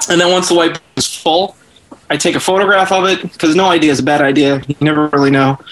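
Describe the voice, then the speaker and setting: A high-pitched man speaks very fast with very even loudness and fairly even intonation. Noticeable background noise runs underneath. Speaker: writer. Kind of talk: casual chat.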